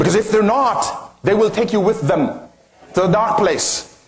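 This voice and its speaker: Over noticeable background noise, a man speaks at a fairly quick pace with a non-native accent. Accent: foreign accent, self-described as funny. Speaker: motivational speaker. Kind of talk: motivational talk to live audience.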